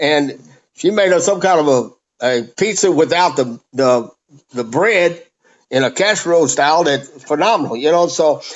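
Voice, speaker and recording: Keeping very even loudness, a man speaks at a moderate pace. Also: fairly high pitch for a man, lively intonation. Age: 60s. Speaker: powerboat racer. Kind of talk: casual chat. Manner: halting.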